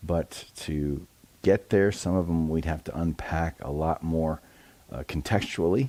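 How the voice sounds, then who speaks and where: In a very clean recording with a silent background, a soft-spoken man with a very deep, low pitch and a dark, mellow tone speaks at a fairly slow pace with ordinary pitch variation. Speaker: pastor. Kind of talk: devotional talk.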